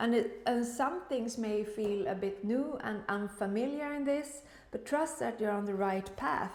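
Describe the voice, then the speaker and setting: Lively in intonation, a woman with a Swedish accent speaks at a fairly slow pace, with audible room echo. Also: fairly high pitch for a woman. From Sweden. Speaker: tarot reader. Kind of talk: tarot reading. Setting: room in the kitchen, high ceiling. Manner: halting. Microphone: echoey room sound.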